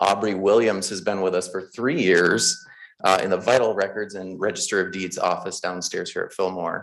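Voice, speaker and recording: A fairly low male voice with fairly even intonation, at a moderate pace. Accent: Midwestern. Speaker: county clerk. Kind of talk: public meeting announcement. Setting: county board meeting at podium.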